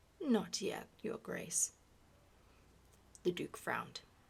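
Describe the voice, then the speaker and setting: A soft-spoken woman at a very slow pace. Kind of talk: ASMR book reading.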